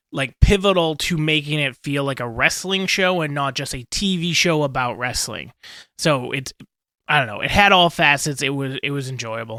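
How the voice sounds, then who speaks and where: Speaking at a moderate pace, a man with a bright, sharp tone and fairly high pitch comes through in a very clean recording with a silent background. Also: ordinary pitch variation. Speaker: podcast host. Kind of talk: casual podcast talk.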